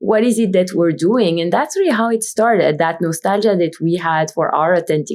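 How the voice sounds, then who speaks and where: Lively intonation at a moderate pace, in a Belgian accent. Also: woman. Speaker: brand founder and CEO. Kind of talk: podcast interview.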